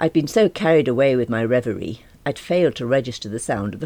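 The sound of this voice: The voice here is an unforced reading voice.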